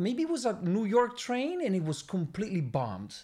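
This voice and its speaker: With an Italian accent, a man talks with very wide pitch swings. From Milan, Italy. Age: 40s. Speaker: designer and former graffiti artist. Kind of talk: casual interview. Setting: studio. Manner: halting.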